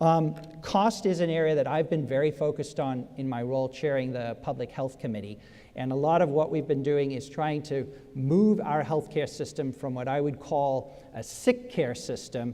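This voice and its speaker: Dark, mellow tone from a fairly high-pitched man with a slight South African accent, moderate pace, ordinary pitch variation. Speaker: state senator, political candidate. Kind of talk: political debate. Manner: halting, many fillers.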